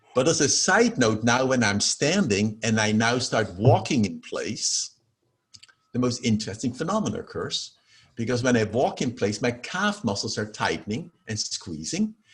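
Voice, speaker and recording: This man has a slight Dutch accent and a somewhat breathy sound. His pitch swings very widely. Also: medium pitch for a man, moderate pace. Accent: slight Dutch accent in American English. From Netherlands. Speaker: professor of holistic health. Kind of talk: interview.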